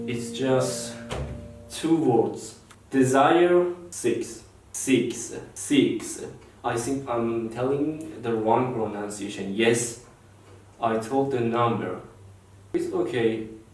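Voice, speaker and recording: A man with a Persian accent speaks at a very slow pace and a medium pitch, leaving long, frequent pauses, with ordinary pitch variation and audible room echo. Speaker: English learner vlogger. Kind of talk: language practice vlog. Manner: halting.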